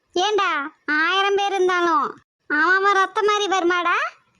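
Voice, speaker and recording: A woman's cartoonish character voice, extremely high in pitch, at a fairly slow pace with fairly even intonation. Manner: sharp-tongued, scolding.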